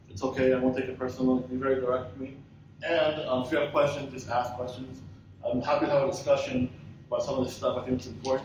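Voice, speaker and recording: Speaking at a very fast pace in a monotone, flat intonation, a man shows big swings in loudness amid audible room echo and noticeable background noise. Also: medium pitch for a man. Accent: American. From US and Israel. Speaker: tech company founder and search and rescue dog handler. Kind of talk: conference presentation. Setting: conference stage with audience. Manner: casual, direct.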